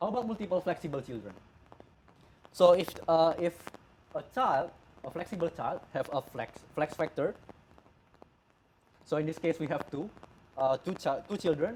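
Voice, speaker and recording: Using lively intonation and a high pitch, a man with a non-native accent speaks with long, frequent pauses. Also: moderate pace. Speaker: software developer. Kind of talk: tech conference talk. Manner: halting, stuttering.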